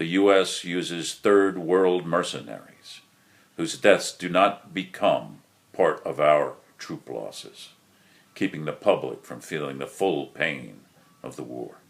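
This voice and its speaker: A man with an American accent talks at a fairly slow pace, with big swings in loudness. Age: 60s. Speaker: war veteran. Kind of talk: prepared monologue. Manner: formal.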